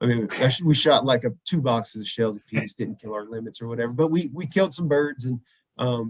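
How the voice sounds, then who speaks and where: A man with a slight southern Louisiana accent and a medium pitch talks at a fairly quick pace with ordinary pitch variation. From US South, southwest Louisiana. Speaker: veterinarian and bird hunter. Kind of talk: casual podcast interview.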